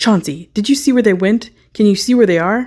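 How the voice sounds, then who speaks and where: Gravelly and fairly high-pitched, a female-sounding put-on character voice moves at a fairly quick pace. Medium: read story. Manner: bossy, menacing.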